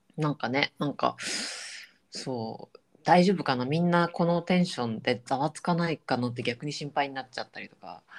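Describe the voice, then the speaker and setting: On a very clean recording with a silent background, a woman with a very deep, low voice speaks at a moderate pace, her intonation lively and her loudness swinging widely. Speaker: podcast co-host. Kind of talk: casual chat. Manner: animated.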